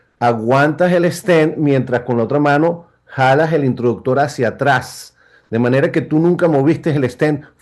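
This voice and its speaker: With very even loudness, a man speaks at a fairly slow pace in a fairly high voice with ordinary pitch variation. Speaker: interventional cardiologist. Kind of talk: medical symposium panel discussion.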